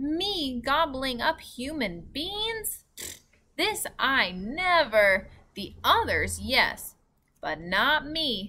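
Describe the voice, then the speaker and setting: A female-sounding, put-on character voice stretches out at a very slow pace, high in pitch with very wide pitch swings. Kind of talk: misspeaks words in a quirky giant way. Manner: shouting, indignant.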